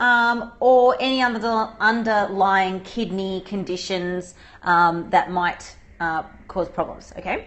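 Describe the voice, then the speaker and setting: A woman with an Australian accent talks at a very slow pace, at a medium pitch with ordinary pitch variation. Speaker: dietitian. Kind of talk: live Q&A livestream. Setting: livestream video broadcast. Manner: casual, conversational with fillers.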